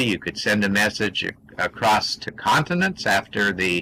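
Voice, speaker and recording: A man with a fairly low pitch speaks at a moderate pace. Noticeable background noise can be heard. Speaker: science discussion presenter. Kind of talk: interactive lecture. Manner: halting, many fillers.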